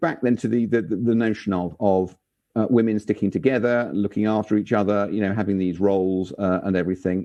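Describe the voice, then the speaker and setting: The speaker is a man with a fairly low pitch. He has an unremarkable speaking voice. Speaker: museum director and interviewer. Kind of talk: interview questions.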